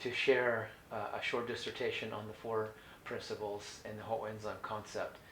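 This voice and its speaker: A man's fairly low, flat, monotone voice with an American accent at a moderate pace, with noticeable background noise and audible room echo. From US West Coast (Orange County, California). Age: 60s. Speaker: holistic health educator. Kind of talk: educational talk. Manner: halting, many fillers and restarts.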